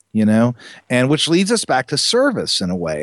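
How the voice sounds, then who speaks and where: A man with an American accent speaks at a moderate pace. The sound is dry and close, with no echo. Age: 50s. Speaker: lighting parts company co-founder. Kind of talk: interview.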